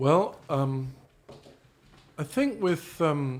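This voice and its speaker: A man with a British accent speaks at a fairly high pitch. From Australia by family, trained in London. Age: 60s. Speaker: stage actor. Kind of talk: interview. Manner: halting.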